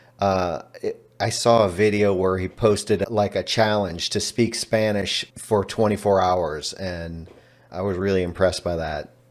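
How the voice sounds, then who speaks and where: With a Texan accent, a man speaks at a fairly slow pace, a fairly low pitch and fairly even intonation. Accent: Texan American English. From Texas. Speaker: language learner. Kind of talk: interview.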